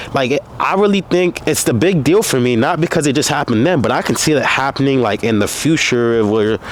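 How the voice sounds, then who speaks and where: Amid noticeable background noise, a man speaks with an animated tone and lively intonation in a fairly high pitch, at a fairly quick pace with very even loudness and hardly any pauses. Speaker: content creator vlogging about anime. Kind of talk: casual vlog monologue. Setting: outdoors.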